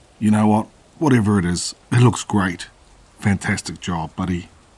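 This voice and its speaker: A man puts on a raspy character voice with a fairly low pitch. He speaks at a moderate pace. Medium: read story. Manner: falsely cheerful.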